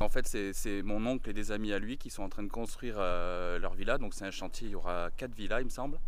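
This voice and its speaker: A man at medium pitch, talking at a fairly quick pace, with audible room echo. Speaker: travel vlogger. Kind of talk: vlog. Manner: halting, stammers.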